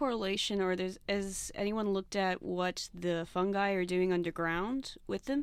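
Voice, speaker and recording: In a very clean recording with a silent background, a woman at medium pitch speaks at a moderate pace in an ordinary speaking voice. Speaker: co-host. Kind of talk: casual interview questions.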